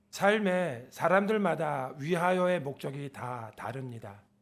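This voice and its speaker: With lively intonation, the man delivers his words at a very slow pace. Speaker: guest preacher. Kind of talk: sermon. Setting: church service.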